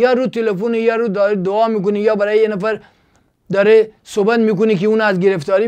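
Against a quiet background, a man talks at a very fast pace in a Gilan accent. His voice is high-pitched with fairly even intonation. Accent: Gilaki-accented Persian. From Iran, Gilan; Iran. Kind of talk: casual monologue with preaching. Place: studio. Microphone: lapel.

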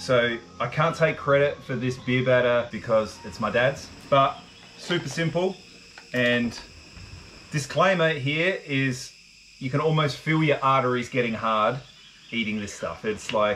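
A man talks at a fairly slow pace, leaving long, frequent pauses. His pitch varies in an ordinary way, with light background noise behind him. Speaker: vlogger. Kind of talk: casual cooking tutorial. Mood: jokey, relaxed. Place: garden. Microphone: camera far.

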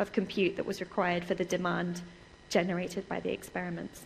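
Somewhat breathy, a woman with an English accent talks over light background noise. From England. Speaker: research computing security specialist. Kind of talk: conference lecture. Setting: stage with audience. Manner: fast talker; animated. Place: hall.

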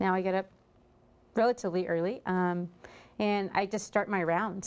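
A woman with a Texan accent at a moderate pace, her intonation fairly even. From Texas. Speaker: restaurant owner; guest. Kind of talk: interview. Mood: relaxed, friendly. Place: studio. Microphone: lapel.

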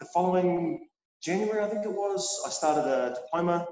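A man with a New Zealand accent talks at a fairly quick pace, with audible room echo and light background noise. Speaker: chef and culinary instructor. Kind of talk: interview. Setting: in a kitchen. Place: kitchen. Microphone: video call.

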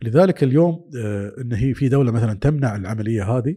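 This man's voice has a dark, mellow tone and is somewhat breathy, with lively intonation. He talks at a fairly quick pace against a quiet background. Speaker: telecom executive; interview guest. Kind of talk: interview. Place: studio. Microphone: studio mic.

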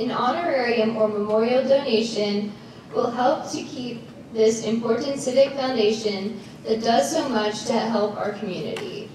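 Over light background noise and strong room echo, a woman speaks at a moderate pace. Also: ordinary pitch variation. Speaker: presenter. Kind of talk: formal announcement read from cards. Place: stage.

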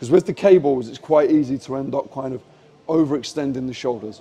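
A man talks at a very fast pace, his pitch varying in an ordinary way. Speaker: fitness coach. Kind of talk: tutorial. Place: gym. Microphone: lapel.

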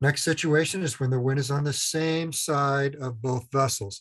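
A man talks over a quiet background, keeping a moderate pace and fairly even intonation. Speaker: instructor. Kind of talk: lecture.

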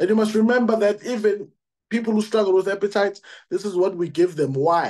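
In a quiet background, a man with a high pitch and ordinary pitch variation speaks at a fairly quick pace. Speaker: product distributor giving a presentation. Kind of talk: sales pitch. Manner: enthusiastic, conversational.

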